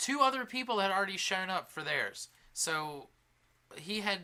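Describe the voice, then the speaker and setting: A man's raised, projected voice, bright and sharp in tone, with lively intonation at a moderate pace. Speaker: podcast co-host. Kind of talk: casual chat. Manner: halting, stuttering.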